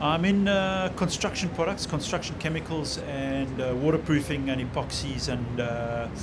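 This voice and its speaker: A man with a fairly high pitch and ordinary pitch variation, at a moderate pace with hardly any pauses, amid audible room echo and noticeable background noise. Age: 60s. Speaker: surfer in construction products. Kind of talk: casual interview.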